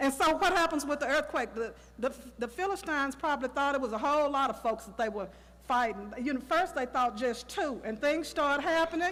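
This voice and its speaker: A woman with an American accent speaks fairly quickly in a high, animated voice. There is noticeable background noise. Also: ordinary pitch variation. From Texas, Tyler. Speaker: Sunday school teacher. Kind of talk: Sunday school lesson.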